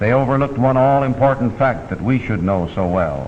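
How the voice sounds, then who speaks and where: A man's medium pitch varies in an ordinary way while noticeable background noise carries on. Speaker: newsreel commentator. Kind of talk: vintage documentary narration. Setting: studio.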